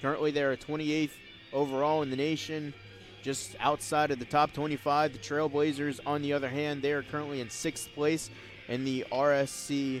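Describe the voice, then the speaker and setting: With music in the background, a man speaks at a fairly quick pace in a fairly high pitch and monotone, flat intonation. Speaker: sports play-by-play broadcaster. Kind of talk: baseball TV broadcast play-by-play.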